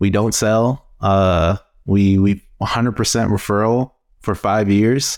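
In an American accent, a man talks at a very slow pace with fairly low pitch and fairly even intonation. His loudness stays very even on a very clean recording with a silent background. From US Midwest, Cleveland, Ohio. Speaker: branding studio principal. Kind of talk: interview.

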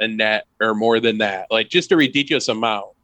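This man has an unremarkable speaking voice with an American accent. He talks at a moderate pace with ordinary pitch variation. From rural US near the Canadian border. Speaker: game designer. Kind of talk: casual chat.

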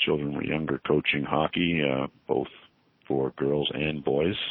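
A man with a Canadian accent speaks in a very deep, low-pitched voice. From Montreal, Quebec. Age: 60s. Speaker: corporate lawyer. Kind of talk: interview. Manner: hesitant, many fillers.

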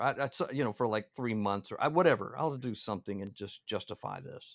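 A man with a plain, everyday voice at a medium pitch, fairly quick pace, ordinary pitch variation, in a dry, close sound with no echo and a very clean recording with a silent background. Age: 40s. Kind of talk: casual chat.

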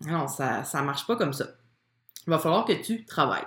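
Very wide pitch swings mark a woman's voice with a Quebec accent. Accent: Québécois French. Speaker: podcast host, business coach for women entrepreneurs. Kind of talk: casual monologue from a Facebook live. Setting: live video stream recorded at home. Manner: spontaneous, frequent laughter and filler words.

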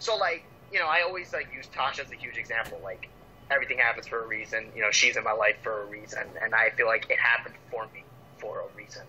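Talking at a very fast pace, a man's voice shows big swings in loudness over noticeable background noise. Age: 20s. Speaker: pro wrestler. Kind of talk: casual interview chat.

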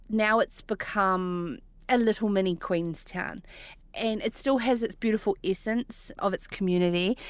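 A woman's fairly high voice with a New Zealand accent, ordinary pitch variation, very even loudness and a moderate pace. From New Zealand, Central Otago. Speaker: rural broadcaster and media business owner. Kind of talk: interview. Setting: remote call.

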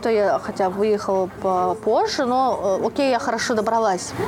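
A woman's fairly high pitch at a moderate pace, with noticeable background noise. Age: 20s. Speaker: podcast host. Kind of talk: casual chat. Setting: cafe.

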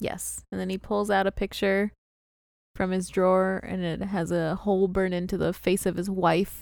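One woman with an American accent talks at a moderate pace and medium pitch. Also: very clean recording, silent background. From US Midwest, St. Louis. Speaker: podcast host. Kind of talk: casual chat recapping a TV episode. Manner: animated, frequent laughter.

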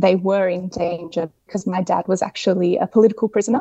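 This woman talks in an Australian accent. Her intonation is fairly even. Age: 30s. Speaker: fashion designer. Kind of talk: casual interview. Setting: remote call.

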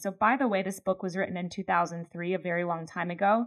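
A woman speaks with an American accent at a medium pitch. Her pace is very fast. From Pennsylvania, US. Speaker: podcast co-host, leadership trainer. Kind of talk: casual chat.

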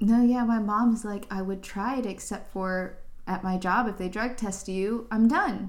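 A woman speaks at a fairly slow pace with a fairly high pitch and fairly even intonation. The room echo is audible. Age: 20s. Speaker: tech professional. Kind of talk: casual chat.

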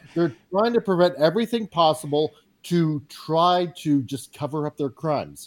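A man with an ordinary speaking voice and fairly high pitch speaks at a moderate pace with ordinary pitch variation, in a dry, close sound with no echo. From Canada. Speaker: podcast guest. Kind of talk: casual chat.

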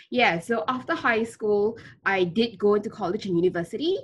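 Somewhat breathy, a woman at medium pitch talks at a fairly quick pace with lively intonation. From Malaysia, Kuala Lumpur. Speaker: founder of a refugee education charity. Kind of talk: interview.

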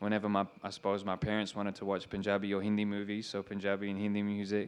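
Against a quiet background, a man with an Australian accent talks at a fairly quick pace in a fairly low pitch. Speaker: rapper. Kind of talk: interview on stage. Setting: stage with audience.

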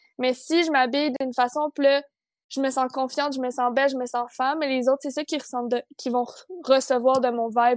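A woman with a Quebec accent, high-pitched and monotone, at a moderate pace, dry and close with no echo. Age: 20s. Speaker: fashion design student, podcast co-host. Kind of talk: casual chat.

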